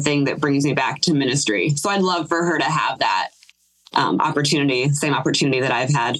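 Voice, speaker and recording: A woman's very deep, low voice at a fairly quick pace. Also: very even loudness. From Ohio. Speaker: singer and cellist in band. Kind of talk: casual interview chat.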